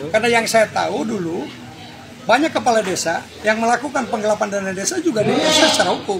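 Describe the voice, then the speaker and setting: Amid crowd noise in the background, a man talks at a very fast pace in a high voice with lively intonation. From Indonesia, Banten (Pandeglang). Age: 60s. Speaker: NGO forum leader. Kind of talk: press interview.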